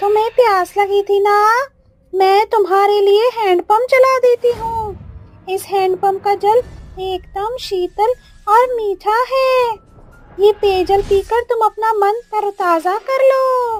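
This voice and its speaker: A female-sounding cartoonish character voice speaks fairly slowly at an extremely high pitch. Faint music plays in the background. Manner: taunting, sing-song cruelty.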